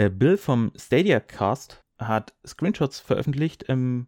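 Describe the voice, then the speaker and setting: The recording is very clean, with a silent background and a dry, close sound with no echo. A man speaks at a medium pitch. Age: 20s. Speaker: solo gaming podcast host. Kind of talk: solo podcast monologue. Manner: casual with frequent filler sounds.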